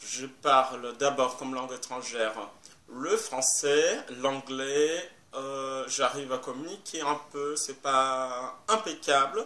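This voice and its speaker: A man talks very slowly with fairly even intonation while noticeable background noise carries on. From Brazil, Brasília. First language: Portuguese (speaking French). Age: 30s. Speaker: French teacher. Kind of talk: video self-introduction to a class. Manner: hesitant, with many fillers.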